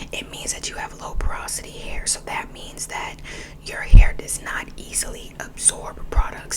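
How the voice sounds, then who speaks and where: The voice whispers at a moderate pace. Background noise is noticeable. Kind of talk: ASMR whisper ramble. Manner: whispered.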